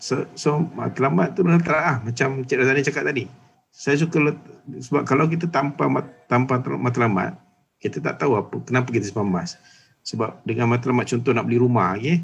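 A man talks at a fairly quick pace with vocal fry. His loudness stays very even, with ordinary pitch variation. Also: medium pitch for a man. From Malaysia, Johor. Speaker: gold dealer and business owner. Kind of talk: casual chat.

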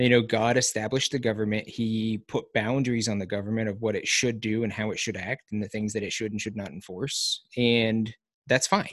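With hardly any pauses, a man keeps talking. His intonation is monotone and flat. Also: medium pitch for a man, fairly quick pace. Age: 30s. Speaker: podcast host and military veteran. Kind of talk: casual chat. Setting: video call.

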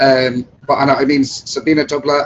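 With a northern English accent, a man speaks in a monotone, flat intonation. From Chester, northern England. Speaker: bass trombonist in a brass band. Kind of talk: casual interview chat.

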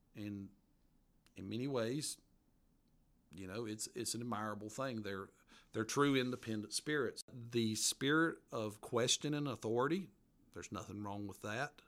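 A man with a strong Appalachian accent speaks at a moderate pace and a medium pitch, with ordinary pitch variation and long, frequent pauses. His loudness swings widely, and the recording is very clean with a silent background. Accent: strong Southern Appalachian. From western North Carolina mountains. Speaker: author. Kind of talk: casual interview. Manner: hesitant, folksy, many fillers.

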